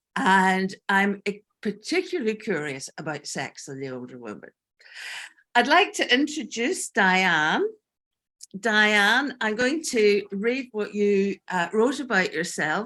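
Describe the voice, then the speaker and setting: Very slowly, a woman speaks in a bright, sharp tone at medium pitch, with very wide pitch swings and big swings in loudness on a very clean recording with a silent background. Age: 60s. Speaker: panel host and workshop facilitator. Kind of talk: panel discussion.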